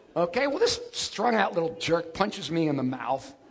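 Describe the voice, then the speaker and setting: A man's animated voice with very wide pitch swings over noticeable background noise. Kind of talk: life story telling. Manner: animated, punchy storyteller with comic asides and laughter; conversational, casual, fast-paced.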